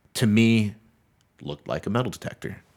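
Over a silent background on a very clean recording, a plain, everyday voice moves through normal rises and falls in pitch. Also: man. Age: 30s. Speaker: podcast co-host. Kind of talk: casual chat.

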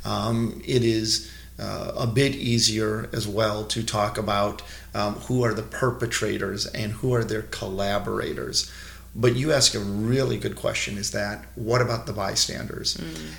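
The speech comes at a fairly slow pace. Noticeable background noise can be heard. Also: man. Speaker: rabbi and museum education director. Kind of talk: interview explanation.

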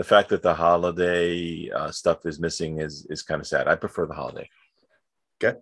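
A man with a New York accent at a moderate pace, dry and close with no echo, on a very clean recording with a silent background. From New York City. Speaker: podcast co-host. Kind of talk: casual chat.

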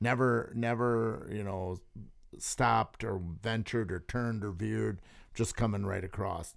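In a very clean recording with a silent background, a man with an American accent speaks in an ordinary speaking voice, fairly low-pitched, at a fairly slow pace with fairly even intonation. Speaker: sturgeon spearing hunter. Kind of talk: casual chat. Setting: studio.

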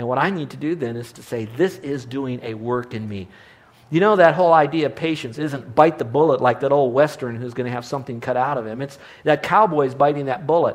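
Speaking at a fairly quick pace, a man with an unremarkable speaking voice and fairly high pitch shows ordinary pitch variation and big swings in loudness. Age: 60s. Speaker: Bible teacher and preacher. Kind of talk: sermon. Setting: live audience.

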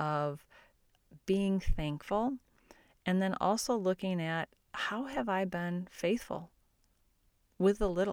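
A woman with a medium-pitched voice speaks at a fairly slow pace with ordinary pitch variation. The recording is very clean, its background silent. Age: 50s. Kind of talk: devotional teaching podcast. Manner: casual, conversational.

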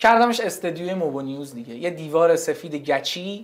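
At a fairly quick pace, a man with a high pitch talks with ordinary pitch variation. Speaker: founder of a tech news media channel. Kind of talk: casual interview chat.

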